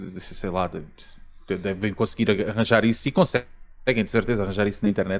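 Speaking at a very fast pace, a man with a Lisbon accent is heard on a very clean recording with a silent background. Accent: Lisbon area Portuguese. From Portugal, Almada. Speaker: video game podcast host. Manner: halting, hesitant with filler words.

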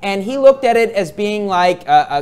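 The speaker is a man. He keeps to a moderate pace. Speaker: preacher. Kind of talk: sermon. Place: church.

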